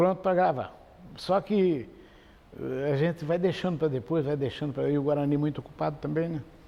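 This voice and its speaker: A man's unremarkable speaking voice, fairly high in pitch with ordinary pitch variation, at a fairly quick pace. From Campo Grande, Mato Grosso do Sul, Brazil. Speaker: radio broadcaster and folk singer. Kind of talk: interview answer. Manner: relaxed, conversational.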